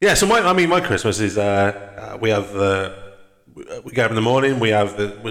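With a Welsh accent, a man talks at a fairly quick pace and fairly low pitch, his loudness very even and his pitch varying in an ordinary way, with audible room echo. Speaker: podcast host. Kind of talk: casual chat.

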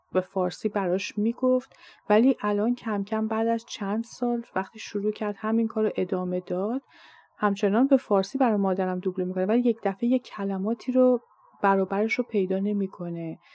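A woman with a plain, everyday voice talks at a moderate pace and a medium pitch, her intonation fairly even. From Iran. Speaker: podcast host and Persian language teacher. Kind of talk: scripted monologue.

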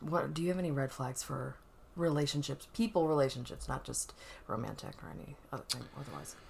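Lively intonation with vocal fry at a fairly quick pace. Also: woman. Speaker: podcast host. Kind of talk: casual chat. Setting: apartment, sitting close together.

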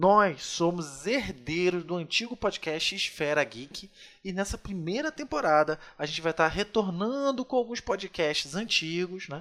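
A man's high, bright and sharp voice, fairly slow in pace, with lively intonation. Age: 30s. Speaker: podcast host. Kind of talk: scripted show intro; casual chat.

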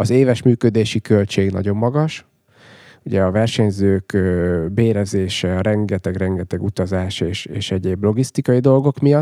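This man has a dark, mellow tone, a fairly low pitch and ordinary pitch variation, speaking at a fairly slow pace. The very clean recording has a silent background and a dry, close sound with no echo. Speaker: cycling race director. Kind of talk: casual interview chat.

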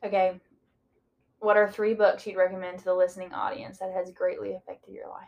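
With a Southern US accent, a woman talks at a fairly quick pace. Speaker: podcast co-host. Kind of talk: casual chat.

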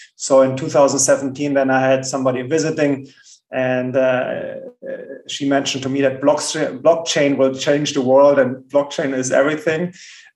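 This voice has a German accent. The intonation stays monotone and flat. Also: man, fairly high pitch for a man, fairly slow pace. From Germany. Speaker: bitcoin entrepreneur. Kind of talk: interview. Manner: halting, repeats words.

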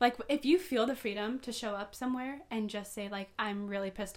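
A woman with an American accent has a plain, everyday voice of medium pitch. She talks at a fairly quick pace with fairly even intonation. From Southern California (Poway). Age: 20s. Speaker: podcaster. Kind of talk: casual chat.

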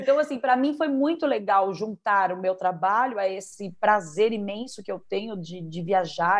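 At a moderate pace, a woman talks in an ordinary speaking voice at a medium pitch with ordinary pitch variation. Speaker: belly dance teacher and performer. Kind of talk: interview.

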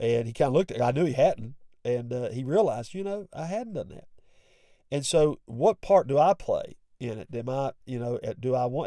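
A man talks at a fairly quick pace with a West Virginia accent. His voice is fairly high, with a dark, mellow tone. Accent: West Virginian Appalachian. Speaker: pastor and podcast host. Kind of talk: sermon-like devotional talk with prayer.

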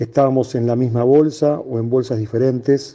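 A man's dark, mellow tone at medium pitch. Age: 50s. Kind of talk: reading aloud.

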